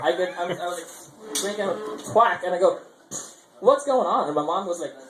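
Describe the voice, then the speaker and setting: Audible room echo and noticeable background noise are both present as a man talks. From India, Chennai, Tamil Nadu. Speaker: amateur comedian. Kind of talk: stand-up. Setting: stage with audience at open mic. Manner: halting, many fillers and restarts.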